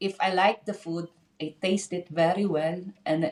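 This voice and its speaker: A woman's fairly low voice, fairly slow and with monotone, flat intonation. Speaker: drummer. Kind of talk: casual interview. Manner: halting.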